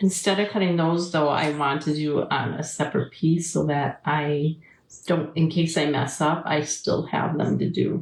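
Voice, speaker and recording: A woman speaks with an Upper Midwest accent. Her pitch is very deep and low, and her intonation is fairly even. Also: moderate pace, very even loudness. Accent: Upper Midwest American. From Wisconsin. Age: 60s. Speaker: craft channel host. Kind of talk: live craft tutorial chatting with viewers. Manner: casual, chatty.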